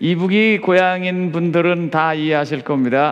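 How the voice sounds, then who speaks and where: A man's fairly high voice at a very slow pace, with audible room echo. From South Korea, Chungcheong (Seosan). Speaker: pastor. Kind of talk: sermon. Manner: crisp, clipped delivery.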